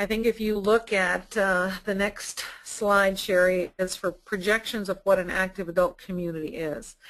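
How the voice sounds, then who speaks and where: Against a quiet background, a woman speaks at medium pitch and a moderate pace with fairly even intonation and hardly any pauses, in an ordinary speaking voice. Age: 60s. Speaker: sales director at a retirement community. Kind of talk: webinar presentation. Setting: online webinar.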